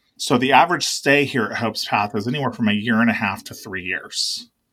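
An ordinary speaking voice from a man, ordinary pitch variation throughout. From Oregon, US Pacific Northwest. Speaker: executive director of a nonprofit, military veteran. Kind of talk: interview.

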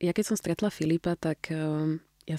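A woman with a very deep, low pitch and a dark, mellow tone speaks at a moderate pace in a dry, close recording with no echo. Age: 30s. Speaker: fitness athlete and new mother. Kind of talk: interview.

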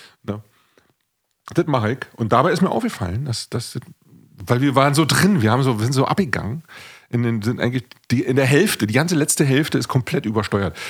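Somewhat breathy, a man with medium pitch speaks at a very fast pace with lively intonation and long, frequent pauses. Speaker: podcast host and musician. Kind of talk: casual chat.

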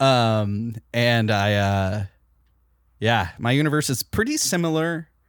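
On a very clean recording with a silent background and a dry, close sound with no echo, a man at a medium pitch talks at a very slow pace with lively intonation. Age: 30s. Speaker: comedy podcast host. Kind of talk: improv comedy chat.

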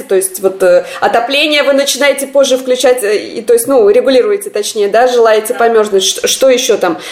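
Over noticeable background noise, a woman speaks at a moderate pace and a fairly high pitch, with ordinary pitch variation. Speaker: podcast host. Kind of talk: casual chat.

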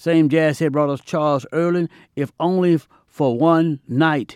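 Recorded very cleanly against a silent background with a dry, close sound and no echo, a man has a plain, everyday voice, fairly high in pitch with ordinary variation. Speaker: jazz podcast DJ. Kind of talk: radio DJ patter between jazz tracks, slogan-heavy back-announcing. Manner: smooth, showman-like hype with catchphrases like no brag, just fact; warm, intimate sign-offs addressing listeners as friends.

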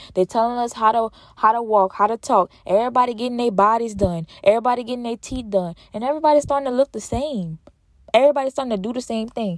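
A woman talks very fast in a fairly high, animated voice with ordinary pitch variation. The sound is dry and close with no echo. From Louisiana. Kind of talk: faith-based motivational monologue. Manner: repetitive, emphatic.

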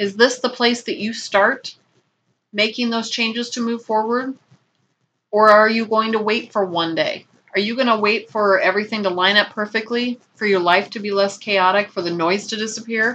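A woman speaks at a moderate pace with a fairly high pitch. Her tone is bright and sharp, her intonation fairly even. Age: 50s. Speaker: podcast host. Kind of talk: motivational self-help talk. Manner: warm.

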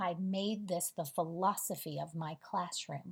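This woman's voice sits fairly low and sounds somewhat breathy. She talks at a very slow pace with ordinary pitch variation. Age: 40s. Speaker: spiritual podcast host. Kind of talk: spiritual monologue.

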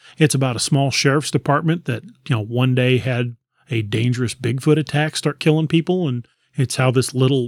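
A man with an unremarkable speaking voice talks at medium pitch and a moderate pace. His pitch varies in an ordinary way, and the sound is dry and close with no echo. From Missouri, Lebanon area (US Midwest). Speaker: author. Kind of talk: casual interview.

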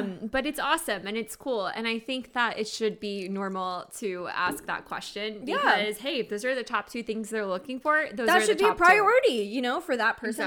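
With lively intonation and a fairly high pitch, a woman talks at a moderate pace with hardly any pauses, and there is noticeable background noise. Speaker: podcast co-host. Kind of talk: casual, chatty.

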